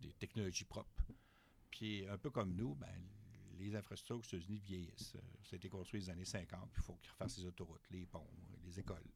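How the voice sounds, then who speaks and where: A man talks at a fairly quick pace with a very deep, low pitch and fairly even intonation. His speech is broken by long, frequent pauses. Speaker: university professor of political economy. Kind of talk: interview. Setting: studio.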